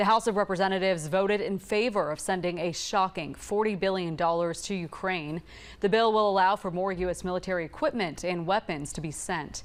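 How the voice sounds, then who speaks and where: A plain, everyday voice moves at a fairly quick pace with hardly any pauses. Pitch varies in an ordinary way, and the recording is very clean with a silent background. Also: woman, medium pitch for a woman. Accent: American. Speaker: TV news anchor and reporter. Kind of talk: TV news anchor delivery.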